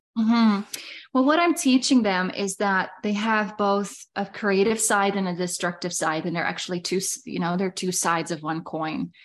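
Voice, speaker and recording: A woman with a Dutch accent speaks at medium pitch and a moderate pace. Her pitch varies in an ordinary way against a quiet background. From Netherlands. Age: 30s. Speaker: business mentor. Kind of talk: casual chat.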